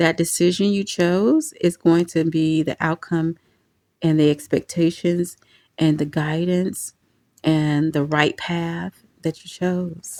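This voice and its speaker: On a very clean recording with a silent background and a dry, close sound with no echo, a woman with a fairly low pitch and a dark, mellow tone speaks at a very slow pace in a monotone, flat intonation. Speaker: tarot reader. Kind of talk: intuitive tarot reading to camera.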